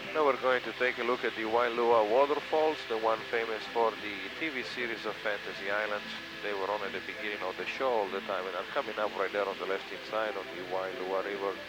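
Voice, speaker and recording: A man's fairly low voice at a fairly quick pace, with ordinary pitch variation, audible room echo and noticeable background noise. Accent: Italian. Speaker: helicopter tour pilot. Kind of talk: tour guide commentary.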